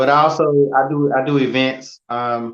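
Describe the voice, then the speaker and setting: Someone with a Southern US accent talks with fairly even intonation. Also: man. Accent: Southern country. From North Carolina (Selma). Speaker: photographer and model trainer. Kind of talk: interview conversation. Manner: halting, with many fillers.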